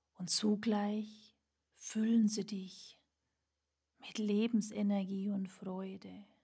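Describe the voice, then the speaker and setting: Speaking at a very slow pace, a woman uses a medium-pitched, somewhat breathy voice with a dark, mellow tone that comes across as calm and soothing. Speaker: burnout mentor and podcast host. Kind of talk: guided meditation. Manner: slow, calm, soothing; gentle, warm, with long pauses.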